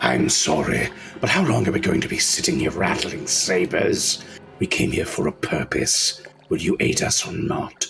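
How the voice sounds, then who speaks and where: A raspy male voice at a moderate pace. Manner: formal, impatient.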